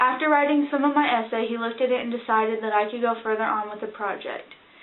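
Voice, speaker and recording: Very fast speech with fairly even intonation comes through audible room echo and noticeable background noise. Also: woman, fairly high pitch for a woman. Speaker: student vlogger. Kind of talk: casual introduction to camera.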